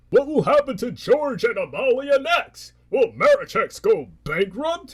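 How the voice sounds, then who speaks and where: A man performs a cartoonish character voice, extremely high in pitch and delivered at a fairly slow pace. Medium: puppet show. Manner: sarcastic, dry.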